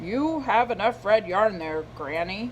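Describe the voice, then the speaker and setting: In a put-on character voice, a female-sounding speaker with a medium pitch talks at a fairly slow pace over clear background noise. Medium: read story. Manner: grumbling, cantankerous.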